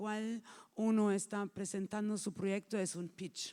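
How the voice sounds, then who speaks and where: Pitch varies in an ordinary way as the speech moves at a fairly slow pace. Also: woman. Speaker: film market executive. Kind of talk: workshop talk. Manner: halting, improvising.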